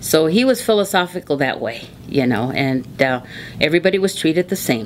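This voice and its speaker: A woman's very deep, low voice in an American accent with very wide pitch swings, over noticeable background noise. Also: fairly quick pace. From Arizona, Tucson. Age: 70s. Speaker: oral history interviewee. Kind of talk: oral history interview.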